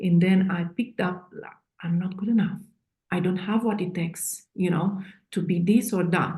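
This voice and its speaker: A woman speaks at a medium pitch and moderate pace in a dark, mellow tone. Her voice is somewhat breathy, with monotone, flat intonation. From Eastern Europe. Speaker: author and coach. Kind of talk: interview. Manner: halting, many fillers.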